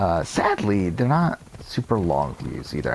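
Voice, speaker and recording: With noticeable background noise behind him, a man speaks at a very deep, low pitch. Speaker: gaming youtuber. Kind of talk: gameplay commentary. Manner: fast.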